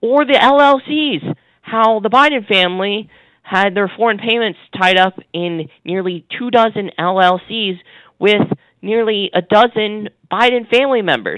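A man talks fairly slowly in a high voice with ordinary pitch variation. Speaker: media watchdog analyst. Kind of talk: phone interview, news analysis.

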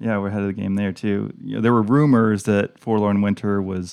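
With an unremarkable speaking voice, a man talks at a fairly low pitch with fairly even intonation, the sound dry and close with no echo against a quiet background. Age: 40s. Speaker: podcast host and pastor. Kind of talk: casual chat.

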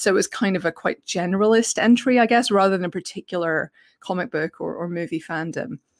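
A woman in a British accent, medium pitch, ordinary pitch variation and a very fast pace, in a dry, close sound with no echo. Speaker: film journalist and podcaster. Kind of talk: casual interview chat. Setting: video call.

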